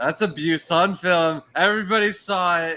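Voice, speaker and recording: A man speaks loudly. His tone is bright and sharp. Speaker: aquascaping podcast host. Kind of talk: casual chat. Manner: animated.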